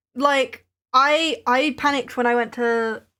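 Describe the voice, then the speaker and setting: A woman speaks with a southern English accent. The recording is very clean, with a silent background. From England, Maidenhead. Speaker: craft livestreamer, small business owner. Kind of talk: casual chat.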